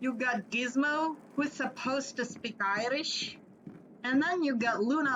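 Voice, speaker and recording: Against noticeable background noise, a woman with a high pitch speaks at a very slow pace. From Flanders, Belgium. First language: Dutch (Flemish). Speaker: gaming YouTuber. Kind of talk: gameplay commentary. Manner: casual, chatty.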